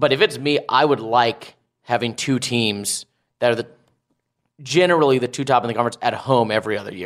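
A man speaks in a normal speaking voice at a fairly quick pace, medium in pitch with ordinary variation. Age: 20s. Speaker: TV sports reporter and weekend anchor. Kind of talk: casual sports chat.

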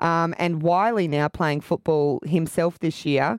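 A woman with an Australian accent and a fairly low pitch. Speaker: radio co-host. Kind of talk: casual chat. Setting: studio. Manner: animated.

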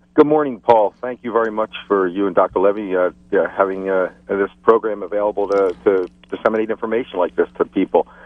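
In an ordinary speaking voice, a man with a fairly low pitch talks at a fairly quick pace with fairly even intonation. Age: 50s. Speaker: caller, construction worker. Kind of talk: call-in question.

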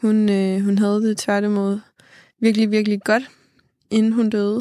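The woman's voice has a dark, mellow tone at a medium pitch. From Denmark, Funen. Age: 20s. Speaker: podcast host. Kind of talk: personal testimony about grief. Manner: hesitant, many filler sounds.

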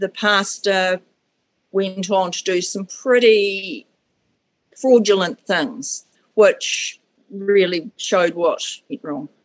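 In a dry, close sound with no echo, a woman with a New Zealand accent speaks at a very slow pace, with a medium pitch and ordinary pitch variation. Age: 50s. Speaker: school cleaner, podcast guest. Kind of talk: testimony. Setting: video call.

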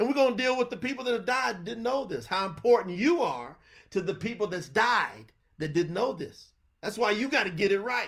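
The voice has an animated tone and lively intonation. It moves at a fairly quick pace. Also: man, high pitch for a man. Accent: Southern US. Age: 50s. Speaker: religious teacher. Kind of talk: scripture teaching livestream. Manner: off-the-cuff.

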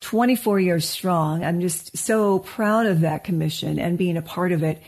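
A woman with an American accent speaks at a medium pitch and moderate pace, somewhat breathy. Her pitch varies in an ordinary way, and the background is quiet. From Washington State, US. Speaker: clinical psychologist, podcast co-host. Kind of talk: casual chat.

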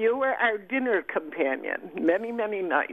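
A woman's fairly high-pitched voice in an American accent, with very wide pitch swings. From Buffalo, New York. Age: 70s. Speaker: caller. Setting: phone call.

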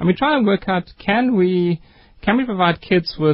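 A man talks at a moderate pace. He has a plain, everyday voice. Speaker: education nonprofit co-founder. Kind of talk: radio interview. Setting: studio.

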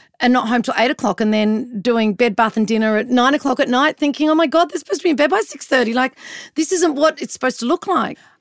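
Speaking very fast with an Australian accent, a high-pitched woman swings her pitch very widely, the sound dry and close with no echo on a very clean recording against a silent background. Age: 40s. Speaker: journalist and TV and radio personality. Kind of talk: casual chat. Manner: animated.

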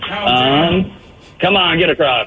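A man speaks with lively intonation. There is noticeable background noise behind him. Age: 20s. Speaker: caller. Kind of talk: testimony. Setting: phone call, in a car.

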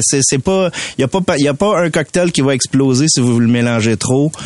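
There is noticeable background noise. A man speaks at a fairly quick pace with lively intonation. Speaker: mixologist. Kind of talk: tutorial.

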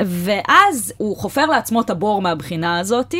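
Her pitch medium but swinging very widely, a woman speaks at a moderate pace with noticeable background noise. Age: 20s. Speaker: podcast host. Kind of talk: casual chat. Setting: studio.

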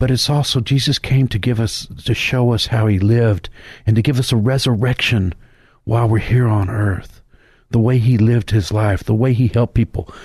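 At a moderate pace, a man speaks in a somewhat breathy, medium-pitched voice with fairly even intonation and very even loudness. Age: 60s. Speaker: pastor. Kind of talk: radio sermon.

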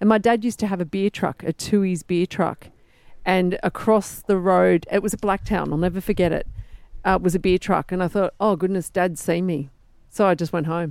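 Here a woman speaks with an Australian accent at a moderate pace and medium pitch. Her intonation is fairly even, in a very clean recording with a silent background. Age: 40s. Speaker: sports reporter. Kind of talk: casual chat.

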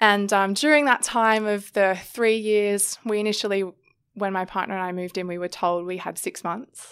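A woman speaks in an Australian accent with fairly even intonation. The recording is very clean and the background silent. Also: medium pitch for a woman, moderate pace. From Sydney, Australia. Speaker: photographer. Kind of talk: interview. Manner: casual, with many fillers.

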